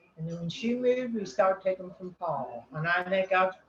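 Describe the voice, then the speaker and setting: Her accent is American, and her pace is fairly slow. The woman's pitch varies in an ordinary way, with noticeable background noise. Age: 80s+. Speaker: amateur painter. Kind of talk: casual self-introduction. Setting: video call.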